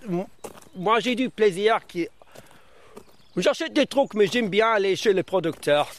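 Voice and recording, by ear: A man with a non-native accent speaks in a high pitch at a fairly slow pace. His intonation is lively. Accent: foreign, learned French in Brittany.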